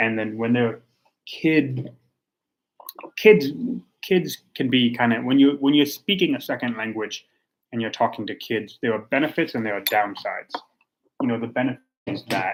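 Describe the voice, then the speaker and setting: At a moderate pace, a man with a medium pitch speaks with ordinary pitch variation and long, frequent pauses. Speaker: tea reviewer livestreamer. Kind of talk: casual livestream tea tasting. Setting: home livestream. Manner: halting, many fillers; soft-spoken, talking quietly.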